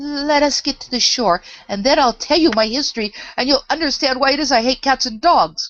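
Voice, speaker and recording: A female-sounding put-on character voice, high-pitched and shaky, moves at a fairly quick pace. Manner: trembling with passion.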